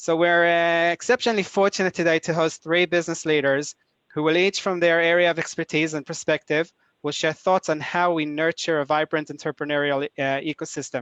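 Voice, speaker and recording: Against a quiet background, a man with a high voice talks at a fairly quick pace and fairly even intonation, the sound dry and close with no echo. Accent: Israeli. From Israel. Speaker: executive director of a nonprofit, webinar host. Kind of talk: webinar introduction. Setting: online webinar. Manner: hesitant, many filler uhs.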